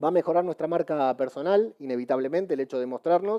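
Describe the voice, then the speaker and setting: A man speaks with a Rioplatense accent. His pitch is high, with ordinary variation. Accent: Argentine Spanish (rioplatense). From Argentina. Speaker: podcaster and conference speaker. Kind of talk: conference talk. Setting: stage with audience. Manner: fast; animated.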